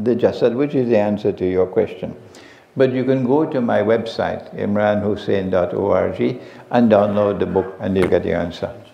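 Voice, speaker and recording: A man's fairly slow speech with audible room echo. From Trinidad. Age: 70s. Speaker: Islamic scholar. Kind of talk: lecture Q&A session. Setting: mosque with live audience. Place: home room. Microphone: headset.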